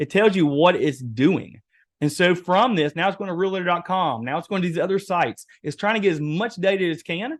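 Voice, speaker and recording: A man's high-pitched voice at a fairly quick pace, with ordinary pitch variation. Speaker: webinar presenter, real estate AI trainer. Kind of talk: webinar workshop demo. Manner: animated.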